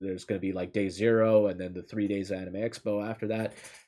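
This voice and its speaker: A man with an ordinary speaking voice at a fairly quick pace, on a very clean recording with a silent background. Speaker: streamer reading stories aloud. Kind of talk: casual chat. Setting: live stream. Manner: casual, with many filler words.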